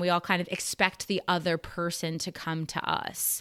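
A woman's fairly low-pitched voice on a very clean recording with a silent background. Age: 40s. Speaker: podcast host. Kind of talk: casual chat.

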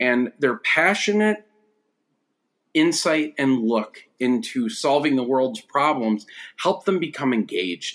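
Very slow and very even in loudness, this man speaks with an American accent. His fairly high pitch makes very wide swings. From western New York (Buffalo suburbs). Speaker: education researcher and former rural social studies teacher. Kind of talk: casual interview conversation.

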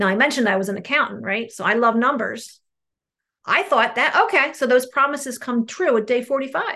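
In a New Jersey accent, a woman talks in a high pitch with lively intonation. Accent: New Jersey American. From New Jersey, US. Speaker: recovering compulsive overeater sharing at a meeting. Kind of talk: testimony. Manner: fast talker.

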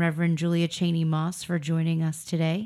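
A woman's fairly low voice, an unremarkable speaking voice, at a moderate pace on a very clean recording with a silent background. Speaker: podcast host and professor. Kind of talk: casual chat.

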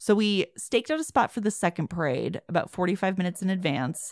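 In a Midwestern accent, a woman speaks at a medium pitch with lively intonation. The sound is dry and close with no echo, and the recording is very clean against a silent background. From US Midwest, Chicago. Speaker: podcast host. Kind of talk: casual chat.

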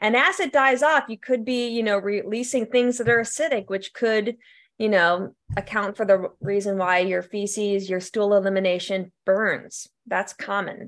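A woman speaks at a moderate pace and medium pitch, with ordinary pitch variation, in an unremarkable speaking voice. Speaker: professor and health educator. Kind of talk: live Q&A, casual. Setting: video call.

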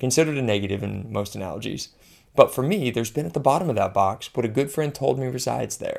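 A man speaks with lively intonation and vocal fry. The recording is very clean, with a silent background. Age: 30s. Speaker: former physician. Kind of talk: personal essay narration.

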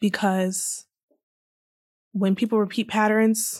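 On a very clean recording with a silent background, a woman at a medium pitch speaks in a somewhat breathy voice with monotone, flat intonation. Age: 20s. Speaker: solo podcast host. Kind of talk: emphatic motivational pep talk addressed directly to listeners; reflective personal monologue on family trauma. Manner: impassioned, insistent repetition building to a rousing vow; warm, earnest, intimate direct address.

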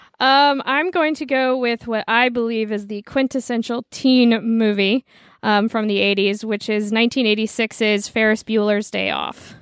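At a fairly slow pace and with hardly any pauses, a woman with an unremarkable speaking voice talks at a fairly high pitch. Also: fairly even intonation. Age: 30s. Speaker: film editor and podcaster. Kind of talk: casual chat.

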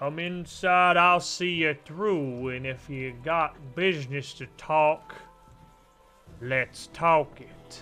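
A put-on character voice from a man, drawling at a very slow pace with fairly high pitch, with faint music in the background. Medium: actual play. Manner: folksy, drawling, falsely friendly.

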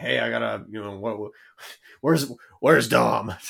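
A man speaks in a raspy, put-on character voice at a fairly slow pace. His pitch sits fairly low.

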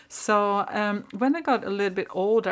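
Here a woman speaks with a Swedish accent at a fairly slow pace. The recording is very clean, with a silent background. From northern Sweden. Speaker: spiritual podcast host. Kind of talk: personal storytelling monologue. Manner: halting.

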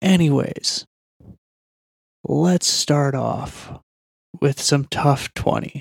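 Quiet and dry, with a close sound and no echo, a man speaks at a fairly high pitch with fairly even intonation. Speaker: MMA opinion commentator. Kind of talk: podcast segment commentary.

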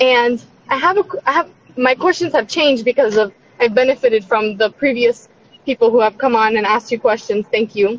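A woman's high-pitched voice at a fairly quick pace, with ordinary pitch variation, very even loudness, and a dry, close sound with no echo. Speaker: caller. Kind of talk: call-in question. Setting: online call.

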